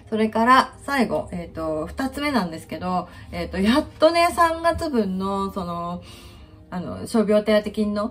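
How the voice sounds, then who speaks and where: Fairly slow speech with very wide pitch swings, big jumps in loudness and faint music in the background. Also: woman. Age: 50s. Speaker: finance worker on leave. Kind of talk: casual talk to camera. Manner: casual, chatty. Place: kitchen. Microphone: phone near.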